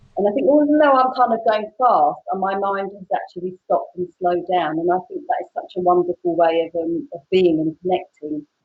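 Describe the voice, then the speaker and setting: With a British accent, a woman talks with lively intonation and hardly any pauses. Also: medium pitch for a woman, fairly quick pace, big swings in loudness. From Britain. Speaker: photographer and public speaking mentor. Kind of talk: casual interview chat. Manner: fast.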